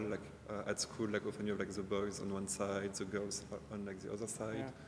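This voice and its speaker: A fairly low-pitched man with a French accent speaks at a fairly quick pace in monotone, flat intonation, with audible room echo. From France. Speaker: designer and teacher. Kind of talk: casual interview. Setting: large exhibition hall.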